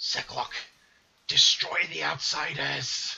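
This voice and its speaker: Speaking very slowly, a man puts on a raspy, guttural character voice pitched high. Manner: menacing, commanding.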